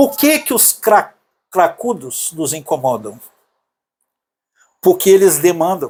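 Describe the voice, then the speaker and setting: A man speaks at a very slow pace. His voice is high, and its pitch swings very widely. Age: 60s. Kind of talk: casual conversation.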